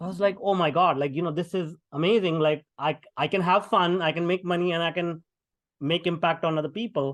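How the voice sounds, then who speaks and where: This man has an Indian accent and a high pitch. He speaks at a fairly quick pace. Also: fairly even intonation. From India, small town. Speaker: tech entrepreneur and keynote speaker. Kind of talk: podcast interview. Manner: many fillers and hesitations.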